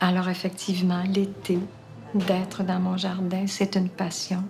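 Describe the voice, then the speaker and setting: A woman's medium-pitched voice carries audible room echo, with music playing in the background. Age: 70s. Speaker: retirement home resident. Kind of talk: testimony.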